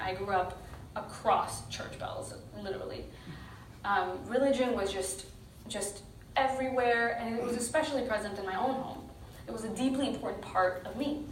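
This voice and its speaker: With audible room echo and noticeable background noise, a woman speaks at a moderate pace with ordinary pitch variation. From Pakistan (Karachi), raised in Texas from age 7. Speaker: activist speaker. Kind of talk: talk to a live audience.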